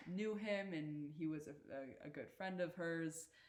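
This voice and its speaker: Fairly even intonation and a Canadian accent come through with audible room echo. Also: woman. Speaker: university athlete. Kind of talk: casual chat. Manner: halting.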